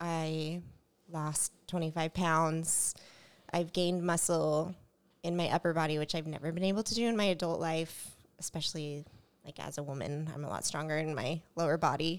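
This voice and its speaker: With an ordinary speaking voice, a woman talks at a fairly low pitch, a moderate pace and fairly even intonation. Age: 30s. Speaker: podcast co-host and jiu-jitsu student. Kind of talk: casual chat.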